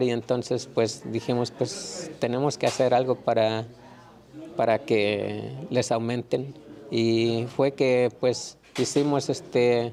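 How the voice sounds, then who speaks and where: Against noticeable background noise, a man with a medium pitch speaks very slowly with fairly even intonation. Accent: Mexican. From Mexico. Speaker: migrant farm worker. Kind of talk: interview answer.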